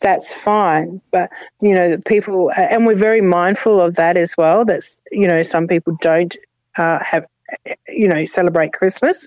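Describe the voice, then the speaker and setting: This woman talks at a fairly slow pace, her medium pitch moving with ordinary variation. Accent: Australian. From Adelaide, South Australia. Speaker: community volunteer. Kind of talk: interview. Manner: halting.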